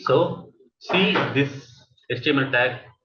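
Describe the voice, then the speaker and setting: Speaking at a very slow pace, a man has a fairly high pitch and a bright, sharp tone. Audible room echo surrounds his voice. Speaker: coding instructor. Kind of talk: tutorial. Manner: halting. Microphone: voice fading in and out, far from mic.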